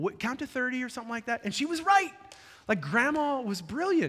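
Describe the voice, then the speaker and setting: This voice is projected and raised. It has a sharp, bright tone. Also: man. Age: 40s. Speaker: pastor. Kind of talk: sermon. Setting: church.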